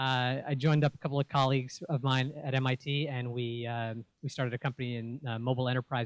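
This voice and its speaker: Very fast and monotone, a man with a New York accent talks at a medium pitch in a very clean, dry, close recording with a silent background and no echo. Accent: New York American. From New York City (Bronx and Queens). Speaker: venture capitalist. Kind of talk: pitch talk. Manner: many fillers, uh and um.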